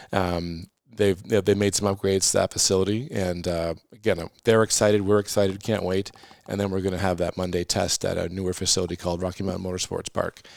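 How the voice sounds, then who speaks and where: A man with a Canadian accent speaks at a fairly quick pace in a very deep, low pitch. His intonation stays monotone and flat over noticeable background noise. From Atlantic Canada, born in Halifax, raised on dairy farm. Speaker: racing series owner. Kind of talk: casual interview chat. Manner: halting, many fillers.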